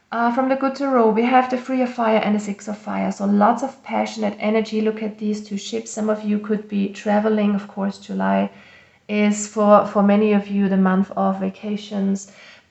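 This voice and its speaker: Over noticeable background noise, a woman speaks at a medium pitch and a moderate pace. Her intonation is monotone and flat. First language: not English. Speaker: tarot reader. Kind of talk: tarot reading. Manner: halting, with fillers and self-corrections.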